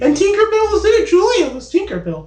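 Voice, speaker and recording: In a put-on character voice, someone squeaks out words at an extremely high pitch and a fairly quick pace. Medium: comedy sketch. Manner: enthusiastic, blurting.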